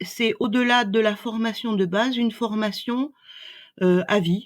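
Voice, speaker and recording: On a very clean recording with a silent background, a woman speaks very slowly in a somewhat breathy voice. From France. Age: 60s. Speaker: doula. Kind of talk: interview. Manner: hesitant, many fillers.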